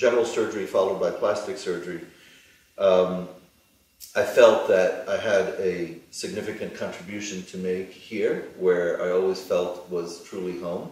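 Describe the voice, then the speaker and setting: A man with a New York accent at a moderate pace, with audible room echo and noticeable background noise. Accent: American, New York. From US, New York. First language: Hebrew. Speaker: plastic surgeon. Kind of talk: interview. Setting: studio. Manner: halting.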